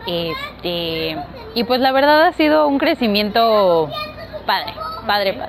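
A woman with a Mexico City accent speaks very slowly in a fairly high pitch, taking long, frequent pauses as her pitch swings very widely. Room echo is audible, and background noise is noticeable. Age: 20s. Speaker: zero waste content creator. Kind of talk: interview.

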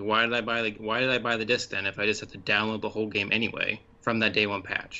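Rattling along at a very fast pace with hardly any pauses, a man speaks in a monotone, flat intonation. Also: fairly low pitch for a man. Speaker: podcast co-host. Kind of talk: casual chat.

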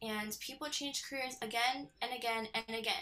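A woman uses a raised, projected voice at a moderate pace with ordinary pitch variation, amid noticeable background noise. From Southern California, Temecula. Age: 20s. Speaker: compliance specialist. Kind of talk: interview.

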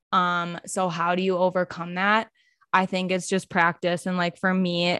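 A woman's monotone, flat delivery in a dry, close sound with no echo, on a very clean recording with a silent background. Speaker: meditation and mindfulness creator. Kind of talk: casual chat.

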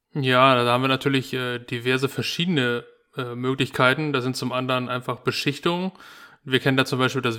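Bright and sharp in tone, a man's medium-pitched voice moves at a fairly quick pace with monotone, flat intonation. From northern Germany. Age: 30s. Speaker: heating service technician. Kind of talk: casual educational chat. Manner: hesitant, many fillers.

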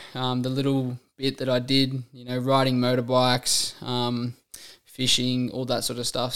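Over a very clean, silent background, a man speaks at a medium pitch and a moderate pace in a monotone, flat intonation. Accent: Australian. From rural New South Wales, Australia. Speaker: fitness trainer and podcast host. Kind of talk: casual monologue. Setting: solo recording. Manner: casual, many filler ums.

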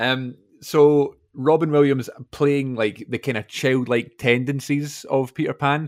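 Speaking fairly slowly in a Scottish accent, a man keeps his fairly high pitch in a monotone, flat intonation. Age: 20s. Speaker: podcast host. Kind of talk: casual chat.

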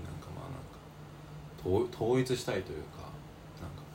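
The pitch swings up and down very widely. There is noticeable background noise and an audible echo from the room. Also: man. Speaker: podcast co-host, university student. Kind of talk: casual chat.

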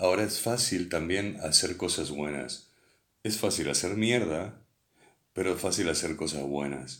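Vocal fry runs through this man's very deep, low voice, which has ordinary pitch variation. Room echo is audible. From Uruguay, Montevideo. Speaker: former pirate radio broadcaster. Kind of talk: casual chat.

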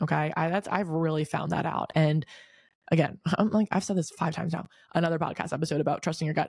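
In a very clean recording with a silent background, a woman with an American accent speaks very fast in a fairly low, somewhat breathy voice with fairly even intonation. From Delaware, US. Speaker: podcast host. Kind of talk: casual chat, solo podcast. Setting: hotel room recording. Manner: uses filler words, slight stutter.

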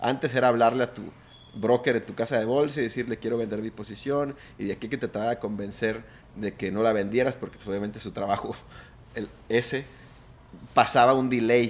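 Delivered at a fairly quick pace, a plain, everyday voice keeps a fairly even intonation. Its loudness swings widely. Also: man. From Mexico, Mazatlán (Sinaloa). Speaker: trader and former pro golfer. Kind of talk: interview conversation.

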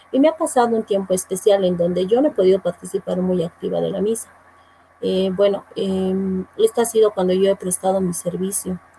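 A woman's unremarkable speaking voice, medium in pitch, with ordinary pitch variation at a fairly quick pace. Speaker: church choir singer. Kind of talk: casual chat.

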